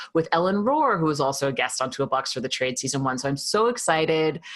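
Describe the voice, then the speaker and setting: A woman is speaking in a New York accent. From New York, Queens. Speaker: podcast host. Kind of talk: podcast interview.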